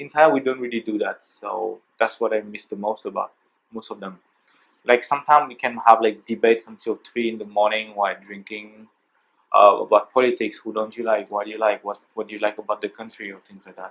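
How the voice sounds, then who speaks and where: In a French accent, a man speaks at a fairly quick pace with a medium pitch, fairly even intonation, and big swings in loudness. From France. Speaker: interviewee for a student class project. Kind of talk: interview. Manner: halting, with fillers and restarts.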